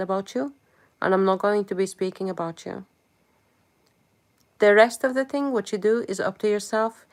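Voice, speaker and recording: A woman speaks at a moderate pace with long, frequent pauses. The recording is very clean, with a silent background. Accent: non-native. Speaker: live streamer. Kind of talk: live stream chat. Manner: animated.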